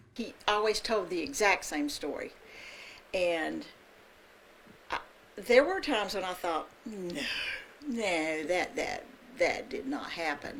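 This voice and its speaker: In a Southern US accent, a woman speaks at a very slow pace with long, frequent pauses. Her medium-pitched voice makes very wide pitch swings. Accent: Southern American. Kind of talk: interview answer.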